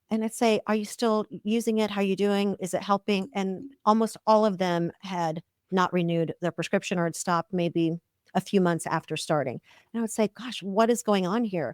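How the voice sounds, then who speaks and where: A woman has a normal speaking voice at medium pitch with ordinary pitch variation. The recording is very clean, with a silent background and a dry, close sound with no echo. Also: moderate pace. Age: 60s. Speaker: OB-GYN physician. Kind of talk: podcast interview.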